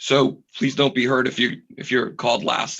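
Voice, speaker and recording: A man's medium-pitched voice has a bright, sharp tone along with vocal fry. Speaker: committee chair. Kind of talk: public meeting. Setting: video call.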